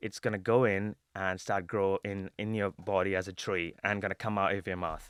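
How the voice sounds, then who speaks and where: Here a man talks at a moderate pace with monotone, flat intonation. The sound is dry and close, with no echo. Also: hardly any pauses. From India (Kerala, South India). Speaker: fintech fraud prevention leader. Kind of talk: podcast interview. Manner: halting, many fillers and restarts.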